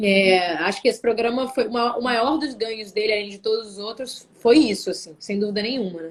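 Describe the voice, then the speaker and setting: Hardly pausing, a woman with a fairly high voice talks at a fairly quick pace with ordinary pitch variation. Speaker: singer and actress. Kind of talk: interview on a live stream.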